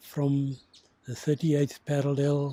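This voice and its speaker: With a dark, mellow tone, a man speaks in a fairly high pitch that is somewhat breathy. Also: dry, close sound with no echo. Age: 80s+. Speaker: war veteran. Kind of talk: interview testimony.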